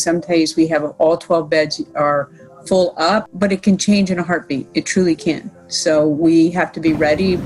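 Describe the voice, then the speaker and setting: With music in the background, a woman speaks at a moderate pace in a fairly low voice with ordinary pitch variation. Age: 60s. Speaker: nurse. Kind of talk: interview.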